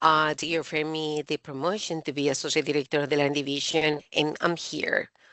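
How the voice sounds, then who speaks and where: With a Spanish accent and a very deep, low pitch, a woman speaks with hardly any pauses. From Colombia. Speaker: university administrator. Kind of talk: interview. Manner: halting.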